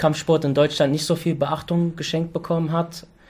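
Speaking in a flat monotone, a man's voice rests at a fairly high pitch. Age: 30s. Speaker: podcast host. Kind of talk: casual interview.

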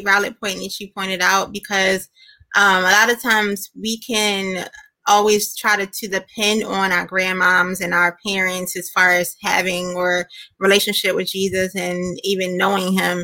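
A woman talks at a moderate pace with medium pitch and fairly even intonation. Her tone is bright and sharp. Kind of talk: casual interview.

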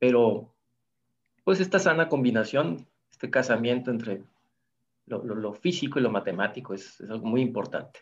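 Speaking with lively intonation and a medium pitch, a man leaves long, frequent pauses and shows big swings in loudness. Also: moderate pace. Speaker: physics professor. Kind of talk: interview.

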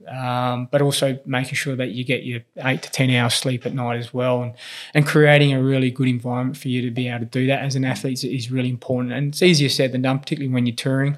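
A man with an Australian accent talks at a very fast pace in a medium pitch, his intonation flat and monotone, on a very clean recording with a silent background. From Australia, grew up in Whyalla, South Australia (born in Philippines). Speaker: strength and conditioning coach for elite tennis players. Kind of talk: interview, personal storytelling. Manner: hesitant, many fillers and repetitions.

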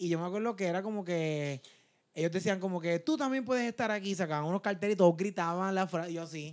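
Very fast and high-pitched, this man speaks with ordinary pitch variation on a very clean recording with a silent background. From Puerto Rico, Peñuelas. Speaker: comedian. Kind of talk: casual chat.

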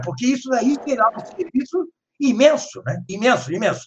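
A man with an extremely high pitch talks at a moderate pace, his intonation lively. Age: 70s. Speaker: professor and author. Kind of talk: lecture-style discussion. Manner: halting.

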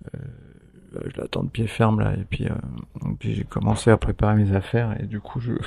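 A man's fairly low, somewhat breathy voice, dark and mellow in tone, at a fairly slow pace with monotone, flat intonation. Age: 50s. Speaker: hospitalized patient and podcaster. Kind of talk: personal audio diary. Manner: hesitant, many fillers.

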